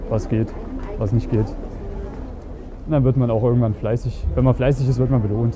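Behind the speech there is noticeable background noise. The man's pitch sits in the medium range. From Germany. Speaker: dating coach and podcaster. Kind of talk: casual vlog-style coaching monologue. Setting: outdoors on the street.

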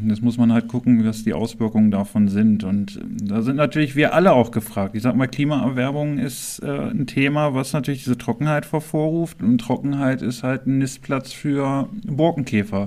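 Noticeable background noise accompanies a man at a medium pitch and moderate pace. He uses ordinary pitch variation and hardly any pauses. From Germany, Harz (Clausthal-Zellerfeld). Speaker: local politician and podcast co-host. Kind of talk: casual chat.

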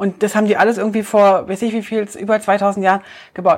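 A woman is speaking. Her pitch is medium. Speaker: travel podcast co-host. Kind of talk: casual chat.

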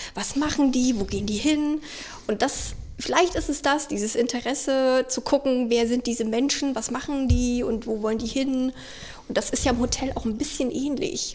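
Over noticeable background noise, a woman with a slight Thuringian accent speaks at a high pitch and a moderate pace. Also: ordinary pitch variation. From Thüringen, Germany. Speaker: hotel reservations employee. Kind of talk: casual interview chat. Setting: hotel suite.

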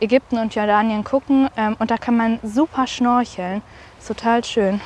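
A woman's fairly high voice at a moderate pace. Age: 20s. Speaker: university student. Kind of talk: interview.

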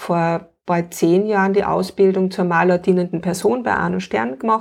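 Speaking at a fairly slow pace over a quiet background, a woman has an unremarkable speaking voice, medium in pitch with ordinary pitch variation. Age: 40s. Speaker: painting-play facilitator and homeschooling mother. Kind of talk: interview.

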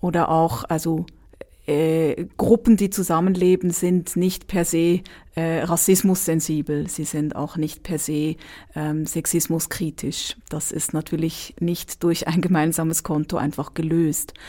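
On a very clean recording with a silent background, a woman speaks very slowly in a dark, mellow, fairly low voice with fairly even intonation. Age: 30s. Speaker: dance therapist. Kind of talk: interview.

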